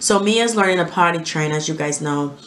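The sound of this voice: In a room with audible echo, a woman talks at a fairly quick pace in a low pitch with a fairly bright tone.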